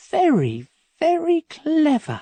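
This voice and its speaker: The speaker puts on a high-pitched character voice. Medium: read story. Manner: calm, confident.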